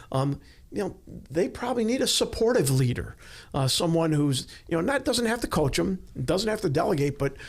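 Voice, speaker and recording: A man is heard in a very clean recording with a silent background. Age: 60s. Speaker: leadership consultant, former law enforcement. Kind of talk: podcast interview. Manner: hesitant, many fillers.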